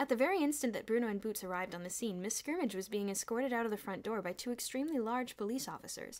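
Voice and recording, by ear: The words are read aloud in a natural voice.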